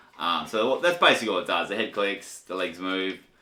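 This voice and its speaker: Over noticeable background noise, a man with an Australian accent speaks in a fairly low pitch. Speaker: toy collector reviewer. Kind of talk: casual video review. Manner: casual, halting.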